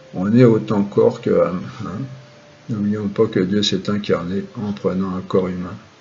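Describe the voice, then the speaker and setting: A man at a fairly low pitch and fairly slow pace, ordinary pitch variation, long and frequent pauses, audible room echo and noticeable background noise. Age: 60s. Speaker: spiritual and philosophy teacher. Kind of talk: lecture. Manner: halting.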